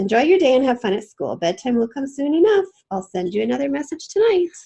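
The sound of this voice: Delivered fast, this put-on character voice has big pitch swings, vocal fry and a dark, mellow tone. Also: woman, high pitch for a woman.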